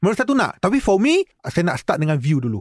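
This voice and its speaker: Dry and close with no echo, a man's high voice swings very widely in pitch. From Negeri Sembilan, Malaysia (FELDA settlement, Gemas). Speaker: automotive content creator. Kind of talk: casual interview chat.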